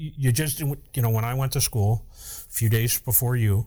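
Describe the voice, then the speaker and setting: A man with an American accent talks in a medium-pitched, somewhat breathy voice. His intonation stays fairly even, and the recording is very clean with a silent background. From upstate New York. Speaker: fire captain and podcast host. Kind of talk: casual chat.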